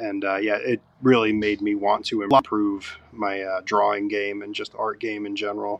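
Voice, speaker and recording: A man speaks at a fairly low pitch in a monotone, flat way with hardly any pauses. There is noticeable background noise. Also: moderate pace. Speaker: tattoo artist. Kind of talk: casual interview chat.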